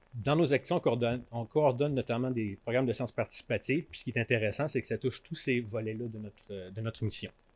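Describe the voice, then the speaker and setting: Speaking very fast with hardly any pauses, a man uses a medium pitch and ordinary pitch variation in a dry, close sound with no echo. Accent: Quebec. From Quebec. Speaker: conservation organization director, biologist. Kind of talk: conference talk. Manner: halting, frequent fillers and repetitions.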